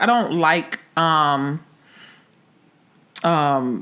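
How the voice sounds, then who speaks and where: A woman's voice lands at a fairly low pitch with a bright, sharp tone. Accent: American. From Philadelphia. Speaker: actress. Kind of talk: casual chat.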